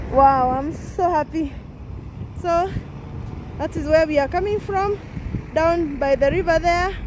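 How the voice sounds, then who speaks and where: A woman at an extremely high pitch with ordinary pitch variation, a fairly slow pace and long, frequent pauses, over noticeable background noise. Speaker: vlogger. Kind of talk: walking vlog. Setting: outdoors, walking. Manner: animated.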